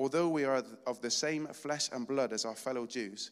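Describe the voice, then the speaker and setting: A man speaks with a British accent at a medium pitch. His pitch variation is ordinary. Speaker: lay preacher. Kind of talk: sermon. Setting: church. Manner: fast talker.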